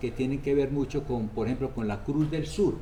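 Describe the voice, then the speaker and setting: There is audible room echo. A man's voice carries through it. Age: 80s+. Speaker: priest. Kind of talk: interview. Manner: halting.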